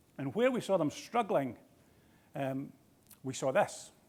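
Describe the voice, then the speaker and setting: A man with a Scottish accent at a moderate pace. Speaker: healthcare executive. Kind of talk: keynote speech. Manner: halting.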